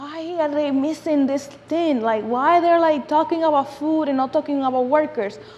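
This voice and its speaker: A woman with a Dominican accent talks at a high pitch and a moderate pace. She hardly pauses, and there is noticeable background noise. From Dominican Republic. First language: Spanish. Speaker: food justice advocate and speaker. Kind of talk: lecture. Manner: animated.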